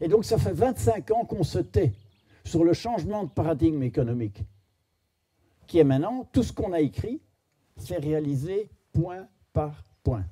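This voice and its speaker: A man with a fairly high voice and a dark, mellow tone speaks at a fairly slow pace, swinging very widely in pitch and leaving long, frequent pauses. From Belgium. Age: 70s. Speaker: philosopher and speaker. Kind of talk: storytelling talk to an audience.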